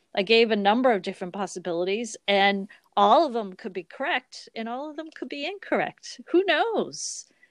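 A woman's fairly high voice with a slight Boston accent, very wide pitch swings and a moderate pace, over a quiet background in a dry, close sound with no echo. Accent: barely noticeable Boston. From Boston, US. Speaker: podcast co-host. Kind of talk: casual chat. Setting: remote recording over internet call.

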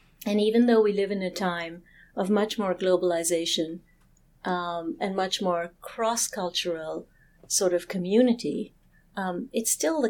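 Moderate pace with ordinary pitch variation and a slight British accent, in a very clean recording with a silent background. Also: woman. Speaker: therapist. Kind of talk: casual chat. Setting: live stream.

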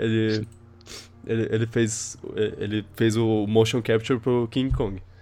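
Very slowly, a man speaks in a medium pitch with a dark, mellow tone and flat, monotone intonation. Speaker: podcast host. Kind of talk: casual chat. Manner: halting, many repetitions.

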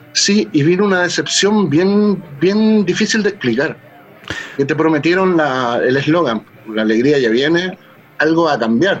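Against noticeable background noise, a man talks at a fairly slow pace with lively intonation and very even loudness. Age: 40s. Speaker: punk musician and librarian. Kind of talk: interview. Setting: home studio.

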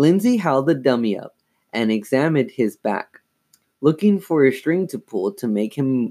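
Against a quiet background, this is plain reading aloud with lively intonation.

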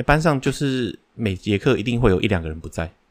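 At a fairly quick pace, a man with an unremarkable speaking voice talks with ordinary pitch variation. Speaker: podcast co-host. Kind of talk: casual chat.

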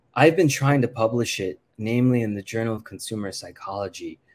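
A man talks at a moderate pace in an unremarkable speaking voice with ordinary pitch variation. The recording is very clean, with a silent background. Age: 30s. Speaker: professor and consumer researcher. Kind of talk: interview.

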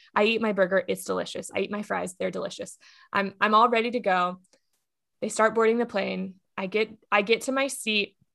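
A woman speaks fairly quickly in an American accent, her tone bright and sharp with vocal fry. The recording is very clean, with a silent background. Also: medium pitch for a woman. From Texas. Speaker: comedian. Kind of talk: casual chat.

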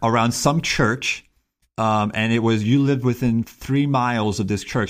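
In an American accent, a man with a normal speaking voice talks at medium pitch with fairly even intonation on a very clean recording with a silent background. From Miami, Florida, US. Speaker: engineering professor. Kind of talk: casual chat.

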